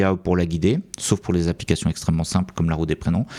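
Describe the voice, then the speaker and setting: A man's dark, mellow voice at a very fast pace, dry and close with no echo, on a very clean recording with a silent background. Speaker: software development educator, YouTuber. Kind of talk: educational talk commenting slides. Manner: hesitant, many fillers.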